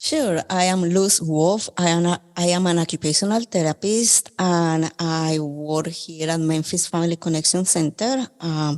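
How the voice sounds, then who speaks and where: In a Colombian accent, a woman with a fairly low pitch and ordinary pitch variation speaks at a fairly slow pace with hardly any pauses and very even loudness, the sound dry and close with no echo on a very clean recording with a silent background. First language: Spanish. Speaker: occupational therapist. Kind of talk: podcast interview.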